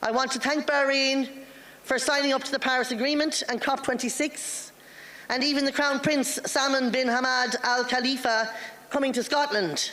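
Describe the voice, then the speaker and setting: In an Irish accent, a woman speaks at a high pitch and a moderate pace, with monotone, flat intonation. Her loudness is very even, and noticeable background noise is present. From Ireland. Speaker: politician. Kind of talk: formal speech. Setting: parliamentary assembly floor.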